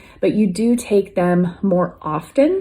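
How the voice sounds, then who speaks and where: The woman's voice has a dark, mellow quality. There is some breathiness to it. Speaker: wellness vlogger. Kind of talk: casual talk to camera.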